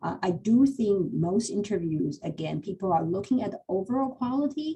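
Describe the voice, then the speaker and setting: The voice is somewhat breathy with a dark, mellow tone, moves at a moderate pace and makes very wide pitch swings. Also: woman, medium pitch for a woman. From Taiwan. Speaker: cancer center hiring manager. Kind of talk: panel Q&A. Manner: halting.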